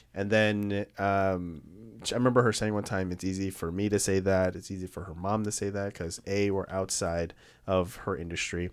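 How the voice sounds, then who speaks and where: A man's fairly low voice at a moderate pace, monotone and flat, against a quiet background. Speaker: podcast host. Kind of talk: casual interview chat. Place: studio. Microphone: studio mic.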